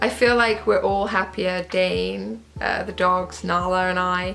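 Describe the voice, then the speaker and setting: The speaker has a British accent and ordinary pitch variation at a fairly slow pace. There is audible room echo along with noticeable background noise. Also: woman. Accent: British, people mistake it for Australian. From England. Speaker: vlogger, former English teacher in Korea. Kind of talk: casual vlog monologue.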